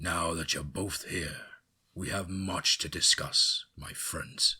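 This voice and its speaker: A put-on character voice from a man, very deep and low, raspy, with a calm tone and a fairly slow pace. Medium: read story. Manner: calm, paternal.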